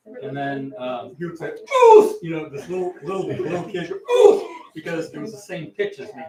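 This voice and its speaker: A man talks in a plain, everyday voice at a moderate pace. His intonation is lively. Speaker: guest martial arts instructor. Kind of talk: kids karate class instruction. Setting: martial arts class, live streamed. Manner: loud counting commands.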